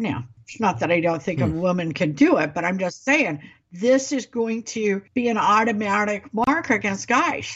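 A woman's somewhat breathy, medium-pitched voice with an American accent, very wide pitch swings and a moderate pace. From US Midwest, Ozarks. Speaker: political podcast co-host. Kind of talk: casual political chat.

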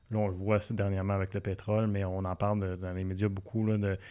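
The voice moves at a very fast pace with monotone, flat intonation in a Quebec accent. The recording is very clean, with a silent background. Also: man. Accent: Québécois French. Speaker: community TV interview host. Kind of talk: casual interview. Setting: studio with camera.

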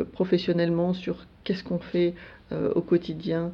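This woman's voice sits at a fairly low pitch. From France, Alsace (Strasbourg). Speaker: EU civil servant, internal newsletter editor. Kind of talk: radio interview. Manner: hesitant, many fillers.

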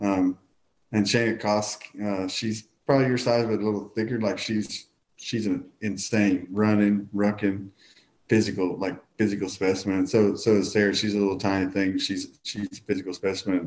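Intonation stays monotone and flat in this voice with a Southern US accent. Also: man, fairly low pitch for a man, moderate pace. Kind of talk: casual interview chat.

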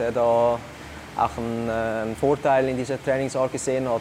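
The voice belongs to a man. There's noticeable background noise in the clip. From Switzerland, Zurich Unterland. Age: 20s. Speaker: CrossFit athlete and athletic coach. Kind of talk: interview.

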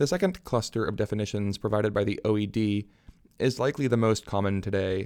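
On a very clean recording with a silent background, a man talks with an American accent. His pitch is fairly low, his pace fairly quick and his intonation fairly even. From US Midwest. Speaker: podcast host and theology PhD student. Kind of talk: casual self-introduction; reading aloud of own essay. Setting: home desk, under a blanket.

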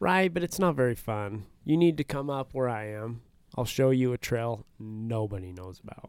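An ordinary speaking voice with an American accent. The loudness swings in a big way. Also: man, medium pitch for a man, lively intonation, moderate pace. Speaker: podcast co-host. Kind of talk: casual chat.

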